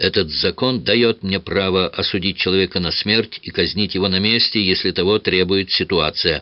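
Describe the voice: Here is plain reading aloud. The intonation is fairly even.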